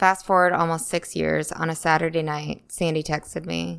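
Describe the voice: A woman speaks at a moderate pace with a low pitch, a clear, smooth tone, vocal fry and ordinary pitch variation.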